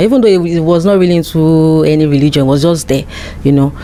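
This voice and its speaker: A woman with a Nigerian accent speaks at a fairly quick pace with a very deep, low pitch. Her intonation is fairly even, and background noise is noticeable. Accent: Nigerian (Yoruba) English. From Nigeria (Yoruba). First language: Yoruba. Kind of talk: interview.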